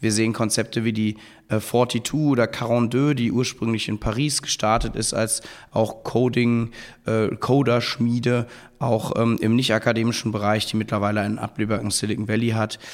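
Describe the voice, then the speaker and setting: In a medium pitch, a man speaks at a moderate pace with monotone, flat intonation. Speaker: university co-founder and chancellor. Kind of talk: interview. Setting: recorded on site at the university. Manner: hesitant with many fillers.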